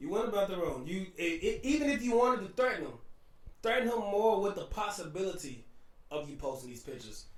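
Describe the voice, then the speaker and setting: With a slight New Orleans accent, a high-pitched man races at a very fast pace in an animated tone, his pitch swinging very widely and his loudness jumping sharply amid audible room echo. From New Orleans, US South. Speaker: podcast co-host. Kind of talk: casual chat.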